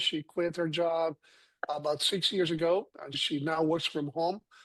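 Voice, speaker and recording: The speaker has a Spanish accent and fairly even intonation. The background is quiet. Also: man. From Colombia. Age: 60s. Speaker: physician and health product consultant. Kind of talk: panel discussion.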